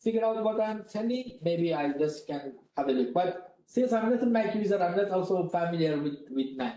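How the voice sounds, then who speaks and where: A man speaks loudly at a moderate pace, his pitch high and his tone dark and mellow. His intonation is lively, and room echo is audible. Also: hardly any pauses. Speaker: university lecturer leading a software workshop. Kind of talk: workshop lecture.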